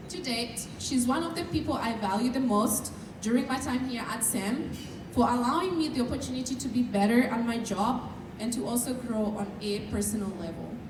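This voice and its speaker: A woman with a Kenyan accent speaks at a high pitch with ordinary pitch variation. Noticeable background noise and audible room echo are present. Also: moderate pace. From Kenya, central Kikuyu region. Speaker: student speaker. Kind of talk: prepared speech. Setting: dinner event with audience. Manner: formal.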